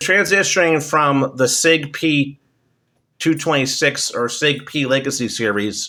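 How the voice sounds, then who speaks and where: Using ordinary pitch variation, a man speaks at a fairly high pitch with a bright, sharp tone. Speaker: firearms reviewer. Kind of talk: casual product review. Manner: hesitant, many filler ums.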